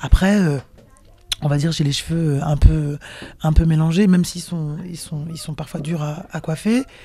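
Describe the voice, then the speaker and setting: With a Parisian accent, a woman speaks at a very deep, low pitch, fairly slowly and with long, frequent pauses. Her loudness swings widely, and her pitch varies in an ordinary way. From Cameroon (Sawa, Douala) heritage, raised partly in Paris. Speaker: singer. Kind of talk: interview. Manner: hesitant, many fillers and repetitions.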